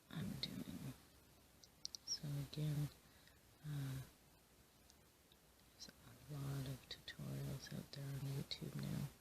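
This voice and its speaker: The voice is soft-spoken and calm in tone, moving at a very slow pace. Long pauses come often. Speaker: crochet hobbyist and occasional teacher. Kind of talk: ASMR soft-spoken chat. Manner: soft-spoken, calm.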